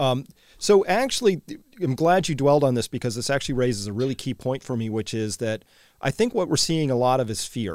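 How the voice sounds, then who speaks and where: A man's plain, everyday voice at medium pitch, fairly quick, with lively intonation, on a very clean recording with a silent background. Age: 50s. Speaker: podcast host. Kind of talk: interview.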